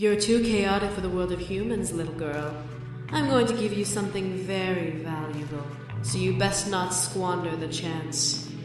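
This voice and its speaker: In a put-on character voice, the speaker uses a middle pitch at a moderate pace. Loud background noise and strong echo fill the recording. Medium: solo performance. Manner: haughty, condescending.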